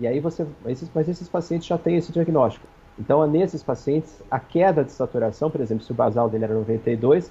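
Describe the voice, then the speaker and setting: This man's voice is fairly high in pitch, with a dark, mellow tone. He speaks at a very fast pace and sounds somewhat breathy. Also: ordinary pitch variation. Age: 40s. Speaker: infectious disease physician. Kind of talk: TV interview.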